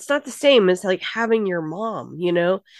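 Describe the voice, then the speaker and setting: A woman speaks at a fairly slow pace with very wide pitch swings. The sound is dry and close with no echo, over a quiet background. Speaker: podcast host. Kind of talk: casual group discussion. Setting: video call.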